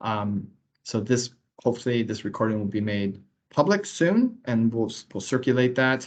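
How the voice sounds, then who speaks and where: An American accent at a moderate pace. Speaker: transport agency staff trainer. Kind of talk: online training Q&A session. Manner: casual, halting with repetitions.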